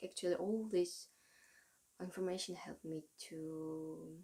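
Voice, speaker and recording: Fairly slow and in a Russian accent, a woman speaks at a medium pitch with ordinary pitch variation and a dark, mellow tone. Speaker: vlogger. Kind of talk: casual monologue. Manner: halting.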